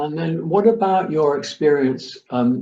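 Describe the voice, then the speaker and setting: A dark, mellow, somewhat breathy tone with very wide pitch swings. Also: man. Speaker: interviewer. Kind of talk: interview.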